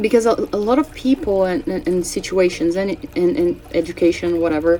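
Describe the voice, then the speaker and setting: With a Brazilian Portuguese accent, the speaker uses lively intonation at a moderate pace. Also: woman. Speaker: astrology and tarot channel host. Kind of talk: casual spiritual forecast monologue. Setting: home, cats present. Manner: halting, with many fillers and self-corrections.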